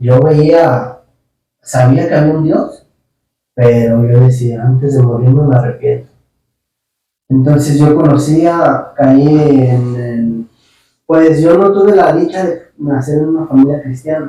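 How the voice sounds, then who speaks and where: A man's fairly high voice with a Jalisco accent, a dark, mellow tone and a somewhat breathy quality, very slow pace with long, frequent pauses and ordinary pitch variation. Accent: Mexican Spanish, western (Jalisco). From Mexico, Guadalajara, Jalisco (Tlaquepaque). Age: 30s. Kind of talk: testimony.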